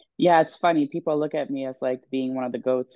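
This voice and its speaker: Speaking at a very fast pace, a woman has a very deep, low pitch. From Sweden, Stockholm. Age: 20s. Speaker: professional bodybuilder. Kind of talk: podcast interview. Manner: hesitant, many fillers.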